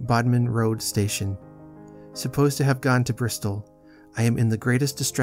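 The text comes across in a reading voice free of strain.

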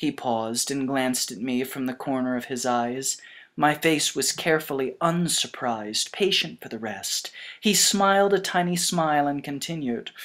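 A woman's very deep, low voice at a moderate pace with lively intonation, on a very clean recording with a silent background. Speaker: amateur audiobook reader. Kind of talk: audiobook reading of a novel.

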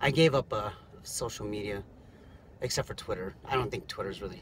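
A man speaks in a fairly low pitch, the sound dry with no echo and noticeable background noise behind him. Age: 30s. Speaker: rideshare driver and vlogger. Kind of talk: casual vlog monologue. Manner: halting, many fillers. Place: car. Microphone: phone near.

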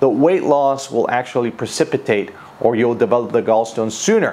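A man speaks at a moderate pace. His pitch varies in an ordinary way. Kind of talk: informational talk to camera. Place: office. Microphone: lapel.

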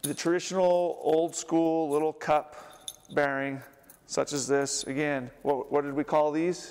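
Intonation stays fairly even. A man speaks at a moderate pace. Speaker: presenter. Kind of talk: lecture. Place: hall.

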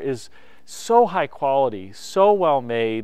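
A man speaks with lively intonation in a dry recording with no echo. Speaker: host. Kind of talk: car review presentation. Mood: enthusiastic, warm. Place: open country.

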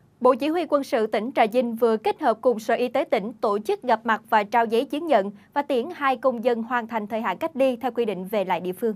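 Speaking very fast with hardly any pauses, a woman keeps a high pitch with ordinary pitch variation. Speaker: news anchor. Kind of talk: news reading. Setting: studio. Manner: formal. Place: studio.

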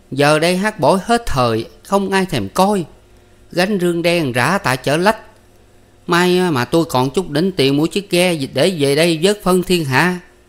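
A man puts on a shrill character voice at a high pitch. He talks at a fairly slow pace. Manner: complaining, scolding.

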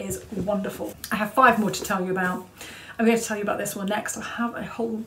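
Natural voice reading aloud, intonation fairly level

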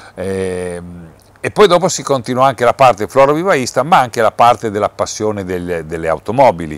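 The man's pitch swings very widely at a fairly quick pace. The sound is dry with no echo. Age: 60s. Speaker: museum president, nursery businessman. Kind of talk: interview. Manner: halting, with many fillers. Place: hall.

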